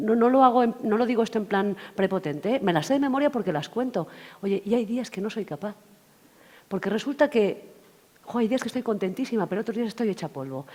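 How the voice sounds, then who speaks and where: Very fast in pace, a woman's fairly high-pitched voice has an animated tone. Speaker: workshop trainer. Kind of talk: lecture.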